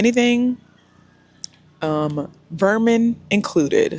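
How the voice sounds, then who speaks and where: A woman's voice with lively intonation. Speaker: lifestyle vlogger. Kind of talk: casual vlog talk to camera. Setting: outdoors by a pool. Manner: loud, speaking up over music.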